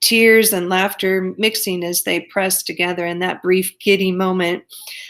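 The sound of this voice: The voice reads in an unforced reading voice. It stays that way throughout.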